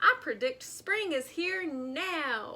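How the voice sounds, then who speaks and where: Shouting in a put-on character voice, a woman hits an extremely high pitch with very wide pitch swings. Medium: read story. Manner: excited, shouting.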